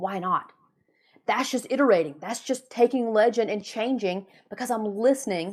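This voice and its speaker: A woman's fairly high voice, animated in tone, with lively intonation. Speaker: business coach podcast host. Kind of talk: solo podcast monologue. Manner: fast when passionate.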